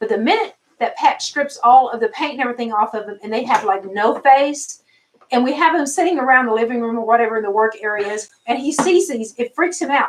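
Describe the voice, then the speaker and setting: In a Southern accent, a woman talks at a fairly quick pace. Her pitch is high and her intonation lively. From US South, Arkansas. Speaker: doll channel live stream host. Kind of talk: live stream chat. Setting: live stream.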